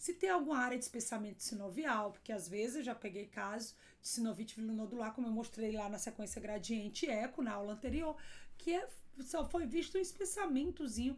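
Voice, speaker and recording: Audible room echo surrounds a woman who speaks at a fairly quick pace with a fairly high pitch and lively intonation. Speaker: radiologist teaching. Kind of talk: lecture.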